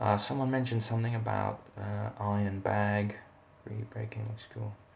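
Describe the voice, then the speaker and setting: A quiet, somewhat breathy man's voice, fairly low and monotone, at a moderate pace. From South Africa. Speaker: martial arts instructor. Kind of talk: live Q&A. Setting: live stream from rental accommodation. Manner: quiet, talking low; halting, many fillers.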